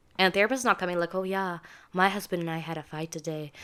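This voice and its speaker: On a very clean recording with a silent background, a woman with a non-native accent and fairly low pitch talks at a fairly quick pace with fairly even intonation. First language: not English. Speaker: podcast co-host. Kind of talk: casual chat.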